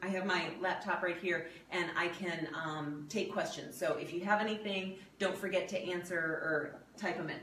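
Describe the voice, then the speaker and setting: The speech moves at a fairly slow pace. Audible room echo and light background noise surround it. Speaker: video host and health coach. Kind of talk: casual cooking demo chat. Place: home room. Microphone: camera far.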